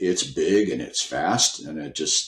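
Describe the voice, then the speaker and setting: A man with an American accent is heard on a very clean recording with a silent background. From California. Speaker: midget car racer. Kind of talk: interview answer. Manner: casual, hesitant.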